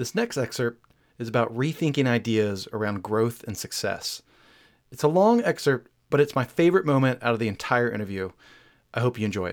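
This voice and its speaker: The recording is very clean, with a silent background. A man talks at a fairly quick pace in a medium pitch with ordinary pitch variation. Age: 40s. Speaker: podcast host and interviewer. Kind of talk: interview conversation with scripted intros. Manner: halting, repeats words.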